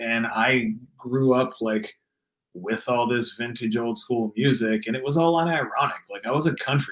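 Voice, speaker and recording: A man talks in a normal speaking voice at a medium pitch. His pitch varies in an ordinary way, and his pace is moderate. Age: 30s. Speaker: guitarist and singer in metal bands. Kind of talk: casual interview chat.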